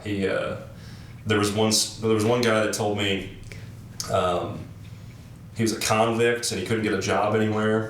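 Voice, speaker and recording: A man in a flat monotone with long, frequent pauses and noticeable background noise. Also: fairly low pitch for a man, moderate pace. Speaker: interviewer. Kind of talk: casual interview conversation.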